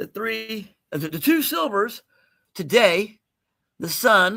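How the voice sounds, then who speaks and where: A man's raised, projected voice, bright and sharp in tone, at a very slow pace, on a very clean recording with a silent background. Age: 60s. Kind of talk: live sales stream chat. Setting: livestream from home, dim room. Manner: casual, chatty.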